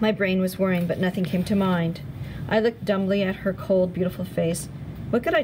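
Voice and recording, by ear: The intonation holds fairly even. A person reads text aloud in a natural voice.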